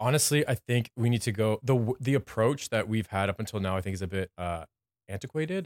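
Speaking in a normal speaking voice with a Canadian accent, a man keeps a fairly quick pace, medium pitch and ordinary pitch variation, the sound dry and close with no echo in a very clean recording against a silent background. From Windsor, Ontario, Canada. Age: 30s. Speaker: graphic designer and business owner. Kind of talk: casual interview. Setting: studio.

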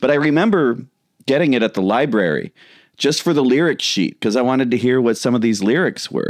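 Against a quiet background, a man with an American accent speaks at a very fast pace. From Chicago, US Midwest. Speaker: podcast host, comedian. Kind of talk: casual chat.

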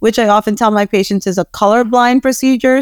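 On a very clean recording with a silent background and a dry, close sound with no echo, a woman with an unremarkable speaking voice talks at a moderate pace in a fairly high pitch. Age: 30s. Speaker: dermatologist. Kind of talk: casual interview.

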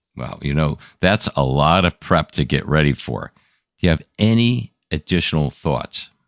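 With vocal fry and a very deep, low pitch, a man talks at a fairly slow pace. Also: lively intonation. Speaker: co-host. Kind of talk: casual professional discussion.

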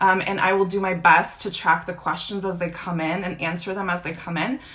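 A woman at a medium pitch and a moderate pace, with noticeable background noise. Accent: American. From United States (born in Croatia, moved at six). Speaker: podcast host and business coach. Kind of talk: live social media training. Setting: Instagram live video.

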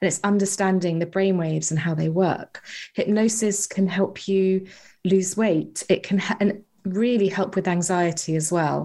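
A woman speaks with a British accent. Her pitch is medium and her intonation fairly even. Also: moderate pace. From UK. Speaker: hypnotherapist and author. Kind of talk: interview.

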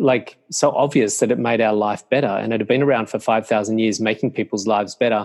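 A man speaks at a very fast pace with an Australian accent. His pitch varies in an ordinary way. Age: 50s. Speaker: meditation teacher. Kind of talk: interview conversation.

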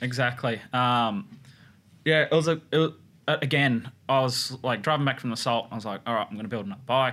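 On a very clean recording with a silent background, a man with an Australian accent speaks fairly quickly in a bright, sharp tone at a medium pitch with ordinary pitch variation. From Australia, northern New South Wales. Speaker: custom motorcycle builder. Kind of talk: casual chat.

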